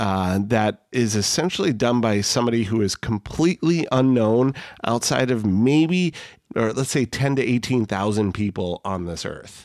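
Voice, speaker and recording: Speaking at a moderate pace, a man with a medium-pitched voice takes on a playful tone, his pitch swinging very widely. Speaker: podcast host. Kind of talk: casual banter. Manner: joking, playful.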